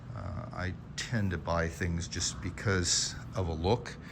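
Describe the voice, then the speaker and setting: There is audible room echo as a man speaks with a very deep, low pitch. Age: 70s. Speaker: motorcycle collector. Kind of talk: casual walkaround video narration. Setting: private showroom. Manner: halting, many fillers.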